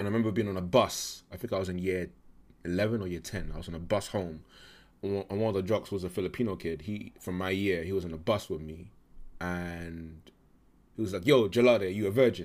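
On a very clean recording with a silent background, a man with a London accent and a very deep, low voice talks very fast with fairly even intonation, taking long, frequent pauses. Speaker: podcast guest. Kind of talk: casual interview.

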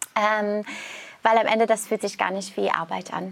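A woman speaks in a normal speaking voice. Her pitch sits fairly high, and her intonation stays fairly even. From Canada. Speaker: yoga teacher and health coach. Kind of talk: casual interview.

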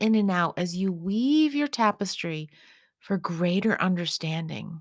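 On a very clean recording with a silent background, a woman speaks fairly slowly in an unremarkable speaking voice, with medium pitch and lively intonation. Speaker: meditation guide. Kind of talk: guided meditation. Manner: soft-spoken; slow, calming.

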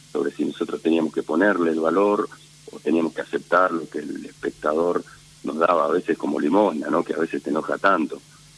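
Over noticeable background noise, a man with a Rioplatense accent talks at a fairly quick pace, the sound dry and close with no echo. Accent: Argentine Spanish (rioplatense). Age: 50s. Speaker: theatre director. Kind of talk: interview. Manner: halting, many fillers.

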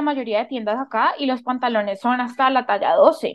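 Her pitch is high. The woman talks at a fairly slow pace. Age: 20s. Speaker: university student and podcaster. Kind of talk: casual interview chat.

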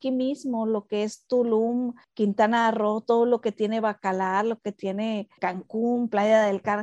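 Against a quiet background, a woman speaks at a very slow pace, the sound dry and close with no echo. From Mexico. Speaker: architect and podcast co-host. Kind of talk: casual chat.

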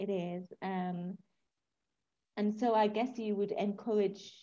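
Her voice dark, mellow and somewhat breathy, a woman speaks at a fairly slow pace in a monotone, flat way. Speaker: podcast host. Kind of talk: casual interview chat.

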